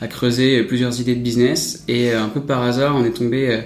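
A man speaks at a medium pitch with monotone, flat intonation. Audible room echo and noticeable background noise fill the recording. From Paris. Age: 20s. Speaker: startup founder. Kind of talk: interview.

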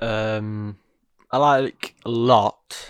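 With an English accent and fairly even intonation, a man speaks in a dry, close sound with no echo. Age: young. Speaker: podcast co-host. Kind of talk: casual chat.

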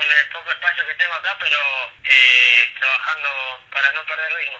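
Against noticeable background noise, the speech keeps a moderate pace. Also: man. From Tucumán, Argentina. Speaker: football player. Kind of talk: interview answer. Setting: phone call.

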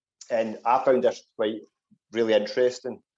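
With a Scottish accent, a man speaks at a moderate pace in a dark, mellow tone and fairly even intonation. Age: 40s. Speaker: podcast host. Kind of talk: casual interview.

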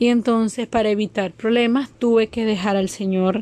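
The speaker has a Venezuelan accent and a dark, mellow tone, with fairly even intonation. The pace is moderate, and the sound is dry and close with no echo. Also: woman. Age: 30s. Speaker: migrant caregiver. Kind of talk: testimony.

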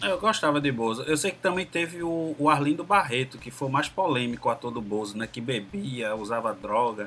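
Against noticeable background noise, a man talks at a moderate pace with lively intonation and hardly any pauses. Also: medium pitch for a man. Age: 40s. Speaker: podcast guest. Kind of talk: casual chat.

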